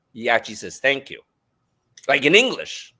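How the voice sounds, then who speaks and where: Bright, sharp male voice with vocal fry, in a very clean recording with a silent background. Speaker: life coach and author. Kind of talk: interview conversation. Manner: loud.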